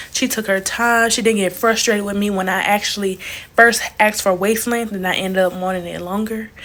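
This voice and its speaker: Over noticeable background noise, a woman with a Southern US accent speaks at a fairly quick pace in an animated tone, her pitch medium. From Alabama, US South. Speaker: travel vlogger. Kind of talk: casual storytime vlog. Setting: hotel room. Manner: animated, chatty.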